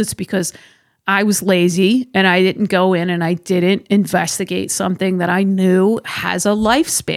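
On a very clean recording with a silent background, a woman at medium pitch speaks in a flat monotone at a moderate pace. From Massachusetts, South Shore. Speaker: firearms industry marketing director and instructor. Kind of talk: casual interview. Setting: studio.

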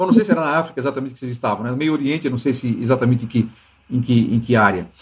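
Lively intonation marks this man's speech. His voice is somewhat breathy. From Brazil. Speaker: podcast host. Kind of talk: interview.

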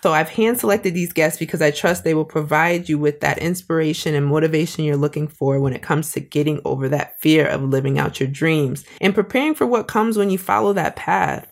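Lively intonation marks a woman's very deep, low voice. She talks at a fairly quick pace with hardly any pauses. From Springfield, Massachusetts. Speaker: podcast host and small business owner. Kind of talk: solo podcast monologue.

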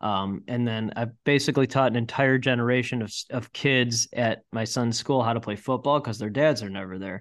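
Against a quiet background, a man in a normal speaking voice talks at a fairly quick pace, medium in pitch with fairly even intonation. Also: hardly any pauses. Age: 40s. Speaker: entrepreneur. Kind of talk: casual chat.

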